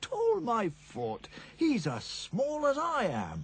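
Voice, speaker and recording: In a put-on character voice, a man talks very slowly, squeaky and extremely high in pitch. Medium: voice reel.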